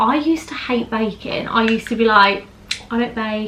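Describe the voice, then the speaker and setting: There is noticeable noise in the background. A woman with a British accent speaks at a fairly high pitch. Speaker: beauty vlogger / makeup artist. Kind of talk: makeup tutorial chat. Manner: fast; animated.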